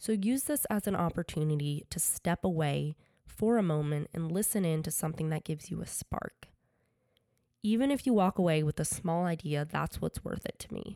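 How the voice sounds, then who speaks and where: In an American accent, a woman talks at a moderate pace with lively intonation and a fairly low pitch. Her tone is dark and mellow, the sound dry and close with no echo, on a very clean recording with a silent background. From Connecticut, US. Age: 20s. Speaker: podcast host, fashion designer and student. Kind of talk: podcast monologue.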